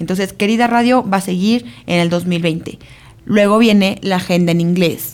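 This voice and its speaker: Delivered in a normal speaking voice, the speech moves at a moderate pace with ordinary pitch variation and very even loudness. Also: woman, medium pitch for a woman. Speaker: podcast co-host and entrepreneur. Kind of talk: casual chat.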